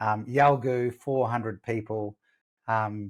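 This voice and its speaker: Recorded very cleanly against a silent background, a man with an Australian accent speaks at medium pitch with monotone, flat intonation. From Western Australia. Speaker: sales coach. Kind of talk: interview.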